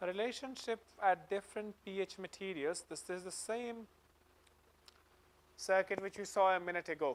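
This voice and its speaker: Long, frequent pauses break up speech delivered at a moderate pace. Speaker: lecturer. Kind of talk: lecture. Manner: loud.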